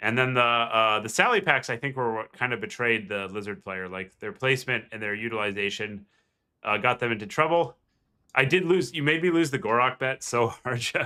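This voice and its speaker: In a very clean recording with a silent background, a man with an American accent speaks with lively intonation and a bright, sharp tone. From United States. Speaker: game streamer and commentator. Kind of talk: live commentary. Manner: casual, filler-heavy.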